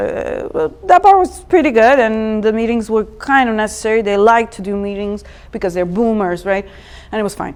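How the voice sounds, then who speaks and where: With a Serbian accent, a woman speaks at a medium pitch against noticeable background noise. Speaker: designer. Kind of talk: meetup talk. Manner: animated.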